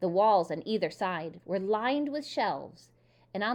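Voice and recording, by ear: The intonation is lively as the passage is read aloud in a natural voice.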